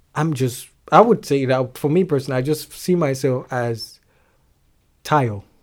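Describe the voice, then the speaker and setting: In a Nigerian accent, a man speaks at a moderate pace with long, frequent pauses. His fairly high voice has ordinary pitch variation on a very clean recording with a silent background. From Nigeria, Lagos. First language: Yoruba. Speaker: singer-songwriter. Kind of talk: casual interview chat. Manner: halting, hesitant, laughs often.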